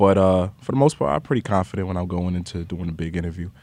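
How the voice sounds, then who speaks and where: A man talks with a New York accent. His pace is very fast. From New York (Queens). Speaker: podcast host and music industry professional. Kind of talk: casual interview conversation.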